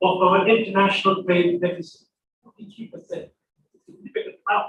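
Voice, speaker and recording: The voice comes through loud, at a moderate pace. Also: man. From Kenya (Indian family). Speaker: author and diaspora speaker. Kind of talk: invited talk to students. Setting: college hall with mic and audience. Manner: halting, repeats words.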